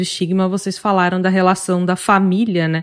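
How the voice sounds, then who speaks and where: A woman speaks in a normal speaking voice at a medium pitch. Her pace is moderate, and the recording is very clean, with a silent background. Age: 30s. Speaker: podcast host. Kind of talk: interview moderation; scripted podcast intro.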